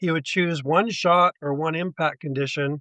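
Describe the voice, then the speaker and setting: Over a quiet background, a man speaks in an ordinary speaking voice at a fairly high pitch with ordinary pitch variation, the sound dry and close with no echo. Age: 60s. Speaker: golf coach. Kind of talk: podcast interview.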